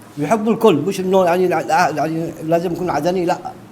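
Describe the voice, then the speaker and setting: A man speaks at a moderate pace in a high voice with ordinary pitch variation. Noticeable background noise runs under him. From Yemen, Aden. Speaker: passerby interviewee. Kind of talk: street interview.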